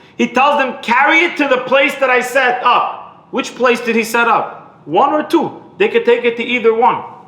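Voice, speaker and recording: A man raises and projects an extremely high voice at a moderate pace. Room echo is audible, and background noise is noticeable. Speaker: rabbi. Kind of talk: lecture. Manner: repetitive, halting.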